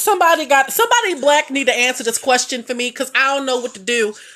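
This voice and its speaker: A woman speaks loudly in a high pitch. Her tone is animated and her pace very fast. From Baltimore, Maryland. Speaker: caregiver and social media creator. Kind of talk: casual livestream chat.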